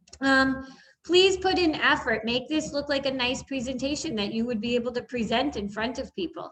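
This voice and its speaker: The tone is bright and sharp. Intonation is lively at a moderate pace. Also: woman. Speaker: elementary school teacher. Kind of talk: recorded online lesson tutorial. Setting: screen-share video recording.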